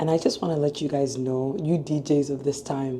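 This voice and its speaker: A woman speaks with a very deep, low pitch and fairly even intonation. Noticeable background noise is present. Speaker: dental student vlogger. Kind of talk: casual vlog chat.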